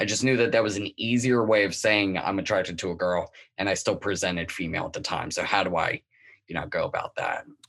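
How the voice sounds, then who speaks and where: A man with an American accent talks at a very fast pace over a quiet background. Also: fairly low pitch for a man, ordinary pitch variation. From Delaware, US. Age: 30s. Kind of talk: interview.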